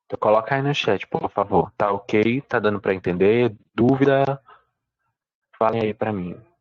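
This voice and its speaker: Speaking at a fairly slow pace, the man has a fairly low pitch with ordinary pitch variation. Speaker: essay writing teacher. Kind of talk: online live class. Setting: livestream with chat.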